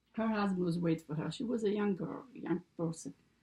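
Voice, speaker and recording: A woman with an Italian accent, medium pitch and ordinary pitch variation. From Italy. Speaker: grandmother telling life story. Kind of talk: casual storytelling interview. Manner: halting.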